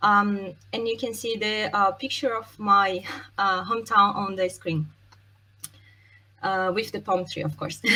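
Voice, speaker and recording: A woman with a Brazilian accent speaks fairly slowly at a medium pitch, her tone bright and sharp, her intonation fairly even, with long, frequent pauses. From Brazil, Santos. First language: Portuguese. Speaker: software testing expert, conference speaker. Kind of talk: conference talk. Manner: hesitant, many fillers.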